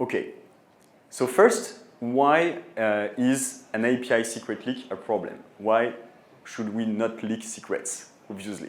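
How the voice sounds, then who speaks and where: Audible room echo surrounds a man with a French accent who talks at a fairly slow pace and a medium pitch. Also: fairly even intonation. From France. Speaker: tech company co-founder and CEO. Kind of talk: conference talk. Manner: hesitant, many filler sounds.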